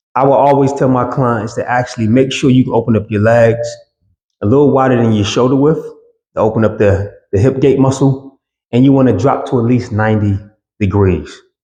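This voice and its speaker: With a dark, mellow, somewhat breathy tone at a medium pitch, a man speaks at a moderate pace with ordinary pitch variation, very even loudness, and long, frequent pauses. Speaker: fitness trainer. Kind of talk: tutorial. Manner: casual, conversational.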